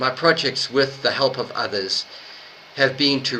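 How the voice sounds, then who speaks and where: A man amid noticeable background noise. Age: 60s. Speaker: host of online speakers meeting and author. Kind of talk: prepared speech. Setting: online meeting.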